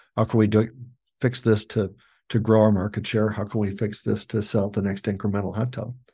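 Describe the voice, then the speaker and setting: A man with an Upper Midwest accent talks at a fairly quick pace in a fairly low, somewhat breathy voice with a dark, mellow tone and monotone, flat intonation. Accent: Upper Midwest American. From US Midwest. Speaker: company CEO. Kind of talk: interview. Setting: remote interview from the factory.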